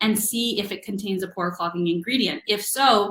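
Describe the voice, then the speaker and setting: This is a woman's voice. It sits at a medium pitch with ordinary pitch variation. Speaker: naturopathic doctor. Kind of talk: webinar presentation. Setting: online webinar. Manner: fast.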